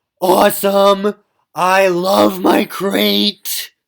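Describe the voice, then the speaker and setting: A raspy, put-on character voice. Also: man, high pitch for a man. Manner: ironic.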